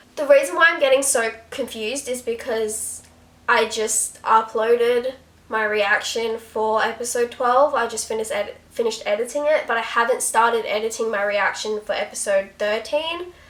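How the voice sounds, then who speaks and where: A woman speaks at a fairly high pitch with ordinary pitch variation amid noticeable background noise. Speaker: YouTuber reacting to TV episodes. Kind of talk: casual reaction commentary. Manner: fast; animated.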